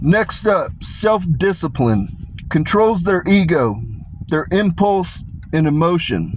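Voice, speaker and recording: At a very slow pace, a man with an American accent talks in a high pitch with lively intonation and very even loudness. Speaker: commentary video creator. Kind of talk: monologue reading prepared notes. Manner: casual, profane.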